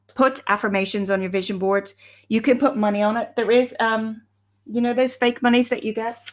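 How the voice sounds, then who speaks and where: In an Irish accent, a woman with a fairly high-pitched voice talks with fairly even intonation. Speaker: life coach. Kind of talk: live stream talk. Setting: live video stream. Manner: fast.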